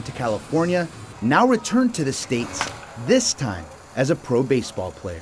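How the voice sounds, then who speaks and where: Over noticeable background noise, a man speaks fairly quickly at a fairly high pitch, his pitch swinging very widely. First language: English and Spanish, bilingual. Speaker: sports anchor and reporter. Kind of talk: television sports news anchoring and reporting.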